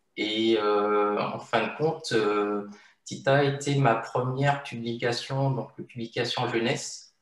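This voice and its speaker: Audible room echo surrounds a man speaking at a very slow pace, at medium pitch, with fairly even intonation. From Martinique. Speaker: illustrator. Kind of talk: interview. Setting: video call. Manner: hesitant, many fillers.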